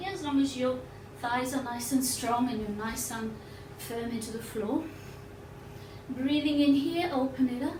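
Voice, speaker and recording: With audible room echo and noticeable background noise, a woman speaks at a high pitch with ordinary pitch variation and long, frequent pauses. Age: 60s. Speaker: yoga teacher. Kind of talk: guided yoga class. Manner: slow.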